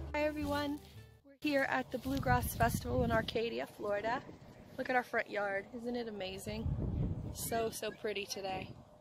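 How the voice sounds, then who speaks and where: A woman speaks at a moderate pace with big swings in loudness, music in the background and a dry sound with no echo. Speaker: vlogger. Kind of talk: casual vlog chat. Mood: cheerful, upbeat. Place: open country. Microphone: phone near.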